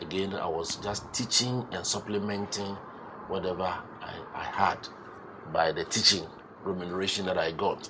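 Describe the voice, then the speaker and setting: The speaker has a Ghanaian accent and fairly even intonation at a moderate pace. Background noise is noticeable. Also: man, very deep, low pitch for a man. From Ghana, Eastern Region. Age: 60s. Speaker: entrepreneur and pharmacist. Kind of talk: interview.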